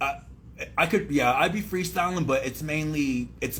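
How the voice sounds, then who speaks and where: With an American accent, a man speaks at a moderate pace in a somewhat breathy voice with lively intonation. Audible room echo is present. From San Diego, California. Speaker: rapper. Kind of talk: radio interview. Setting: radio studio. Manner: halting.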